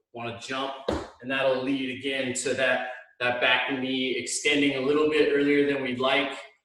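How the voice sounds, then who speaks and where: A man's voice carries audible room echo. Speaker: hitting coach. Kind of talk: tutorial. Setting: video call from home. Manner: loud.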